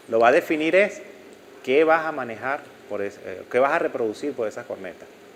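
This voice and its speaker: Fairly high in pitch, a man speaks at a fairly quick pace with big swings in loudness against noticeable background noise. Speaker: audio instructor. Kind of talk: lecture. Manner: halting.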